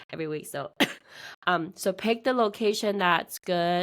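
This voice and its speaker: A woman at a fairly low pitch and moderate pace, intonation fairly even, in a very clean recording with a silent background. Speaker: real estate investor running meetups. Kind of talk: casual interview.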